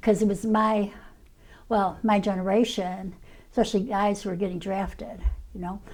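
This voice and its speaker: At a moderate pace, a woman with an American accent talks at a medium pitch in a monotone, flat intonation. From US Midwest, Chicago south side. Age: 70s. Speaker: former activist. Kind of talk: oral history interview. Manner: halting, many fillers.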